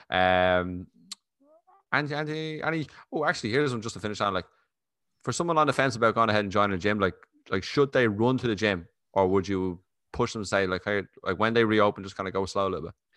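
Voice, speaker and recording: Speaking very fast in an Irish accent, a man with a fairly low pitch and lively intonation leaves long, frequent pauses against a quiet background. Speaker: podcast host. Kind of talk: casual interview chat. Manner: fast talker.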